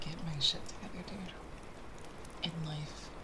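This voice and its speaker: Very slow whispering from a woman, with noticeable background noise. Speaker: ASMR artist. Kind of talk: soft-spoken ASMR chatting to camera. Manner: soft-spoken, casual, chatty.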